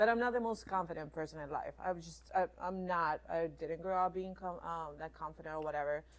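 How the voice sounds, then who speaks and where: Talking at a fairly quick pace with hardly any pauses, a woman with a fairly low pitch and ordinary pitch variation shows big swings in loudness. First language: not English. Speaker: jiu-jitsu student and assistant coach. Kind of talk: podcast interview. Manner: hesitant.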